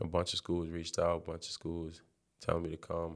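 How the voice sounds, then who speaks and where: A man with a New York accent, very deep and low in pitch, monotone and flat, at a moderate pace, in a very clean recording with a silent background. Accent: New York City. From Brooklyn, New York. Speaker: college basketball player. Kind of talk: interview.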